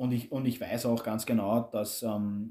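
A man talks at a moderate pace in a medium-pitched, dark, mellow voice with monotone, flat intonation. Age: 30s. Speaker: construction foreman. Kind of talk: personal interview testimony.

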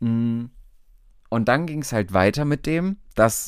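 A man is speaking. His voice has ordinary pitch variation. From Hesse, Germany (Alsfeld). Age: 20s. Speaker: podcast host and optician. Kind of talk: casual monologue. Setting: home, bedroom at night. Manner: animated.

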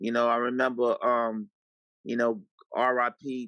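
A man speaks with a New York accent in a dry, close sound with no echo. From New York City (Harlem and Far Rockaway, Queens). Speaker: TV executive producer. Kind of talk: casual interview.

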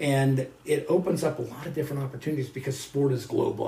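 A man's medium-pitched voice with a General American accent and audible room echo. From Colorado, US. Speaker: professor. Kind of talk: interview.

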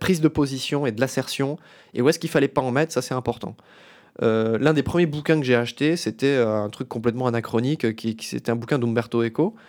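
Recorded very cleanly against a silent background, a man has an ordinary speaking voice at medium pitch. He talks at a fairly quick pace with ordinary pitch variation. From France, Metz (Lorraine). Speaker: doctoral student and podcast host. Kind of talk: casual interview.

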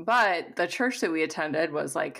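With an American accent and vocal fry, the speaker goes at a moderate pace. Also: woman. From US Midwest, southern Missouri. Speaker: career coach. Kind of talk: casual interview conversation.

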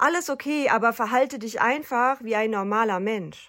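On a very clean recording with a silent background, a woman with a high pitch speaks at a fairly slow pace with ordinary pitch variation. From North Rhine-Westphalia, Germany (rural). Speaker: psychotherapy practitioner and podcaster. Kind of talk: personal monologue podcast.

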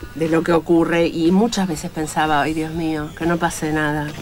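Over music in the background, a woman with a fairly low pitch talks at a moderate pace. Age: 50s. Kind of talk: interview.

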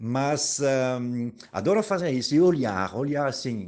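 This man has a fairly high pitch. His voice moves in very wide pitch swings. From Paris, France. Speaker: podcast host. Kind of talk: casual monologue. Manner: animated.

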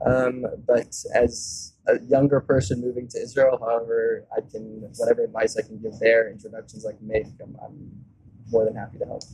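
A man's voice with big swings in loudness and music in the background. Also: moderate pace. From US South (Atlanta, Georgia), born in South Africa. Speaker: tech entrepreneur. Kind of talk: interview. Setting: in person.

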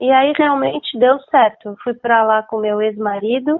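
A woman's normal speaking voice, fairly high in pitch with ordinary variation, at a fairly slow pace. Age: 60s. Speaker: book publisher and former journalist. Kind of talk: interview.

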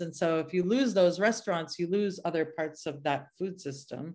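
A woman with an American accent, fairly low in pitch, with ordinary pitch variation, a moderate pace and a quiet background. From US, New England (suburban Boston). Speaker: chef and bakery owner. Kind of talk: interview.

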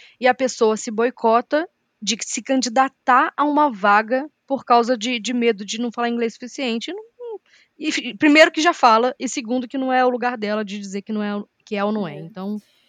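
A woman talks at a moderate pace with a high pitch and ordinary pitch variation. The recording is dry and close, with no echo. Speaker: podcast co-host. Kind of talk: casual chat.

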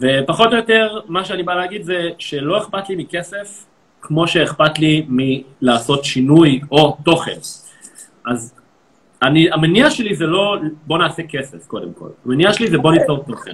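Here a man speaks with a plain, everyday voice at a fairly high pitch. His intonation is lively and his pace moderate. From Israel, Tel Aviv. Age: 30s. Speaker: social media comedian. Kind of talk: live social media interview.

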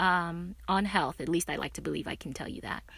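Here is a woman with an American accent. Her pitch is medium, and the recording is very clean with a silent background. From Nigeria. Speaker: podcast host, physician assistant. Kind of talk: casual monologue. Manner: animated.

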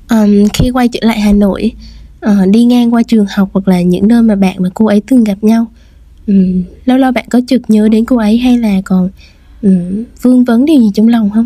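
A woman talks at a fairly quick pace with long, frequent pauses, her fairly high voice somewhat breathy with a dark, mellow tone. Her intonation stays fairly even, and her loudness is very even. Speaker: radio show host. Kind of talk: podcast radio hosting and interview.

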